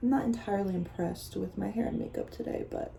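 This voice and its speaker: A woman talks at a fairly quick pace. Her tone is dark and mellow, and somewhat breathy. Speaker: vlogger. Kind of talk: interview answers; casual vlog talk to camera. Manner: quiet; fast, rambling.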